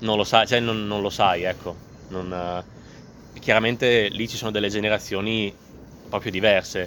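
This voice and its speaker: A moderate pace broken by long, frequent pauses, with monotone, flat intonation. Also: man, fairly low pitch for a man. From Emilia, northern Italy (Modena). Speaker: testimony speaker. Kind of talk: personal testimony.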